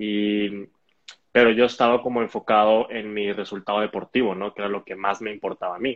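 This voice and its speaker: This man talks at a fairly quick pace in a fairly low voice with flat, monotone intonation. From Mexico, Hermosillo (Sonora). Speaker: elite roller skater. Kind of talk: online interview. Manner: hesitant, many repetitions.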